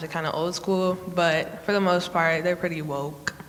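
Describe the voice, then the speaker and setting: A woman speaks in a fairly low pitch with an American accent. Her intonation is monotone and flat, and there is noticeable background noise. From Oak Park, Illinois. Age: young. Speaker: panelist. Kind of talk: panel discussion.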